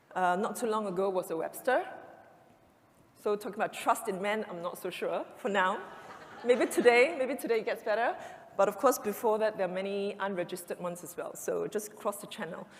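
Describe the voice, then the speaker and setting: A woman talks at a fairly quick pace with big swings in loudness, over noticeable background noise. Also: medium pitch for a woman, ordinary pitch variation. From Singapore. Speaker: events industry executive. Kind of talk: conference talk. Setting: stage with audience. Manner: fast.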